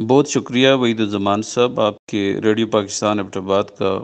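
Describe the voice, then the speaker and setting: A man with an ordinary speaking voice talks in a fairly low pitch with fairly even intonation. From Pakistan, Mansehra district. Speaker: government official and radio broadcaster. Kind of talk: interview.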